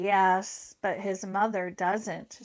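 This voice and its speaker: A woman puts on a character voice at medium pitch with monotone, flat intonation, captured in a very clean recording against a silent background. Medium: read story.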